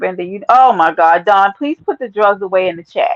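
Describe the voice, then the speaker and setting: A woman with a New York accent speaks at a moderate pace in an animated tone. Her pitch swings very widely, and the sound is dry and close with no echo. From New York, Brooklyn (East Flatbush). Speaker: livestreamer. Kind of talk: casual chat. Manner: abrasive.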